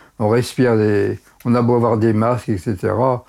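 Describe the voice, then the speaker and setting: On a very clean recording with a silent background, a man with a fairly low voice and a dark, mellow tone speaks at a fairly slow pace with fairly even intonation. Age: 80s+. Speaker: doctor. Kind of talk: interview. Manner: halting.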